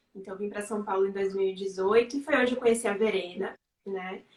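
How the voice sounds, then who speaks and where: Flat, monotone intonation marks a woman talking fairly quickly. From Bahia, Brazil (Serrinha, sertão). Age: 20s. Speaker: psychologist and writer. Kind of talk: interview on a live stream. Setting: online live stream.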